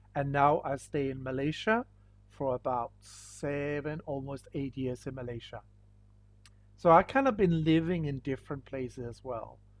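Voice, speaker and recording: Against a quiet background, a man with a Danish accent talks at a moderate pace and a fairly high pitch, with ordinary pitch variation and big swings in loudness. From Denmark. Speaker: school teacher. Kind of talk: online lesson.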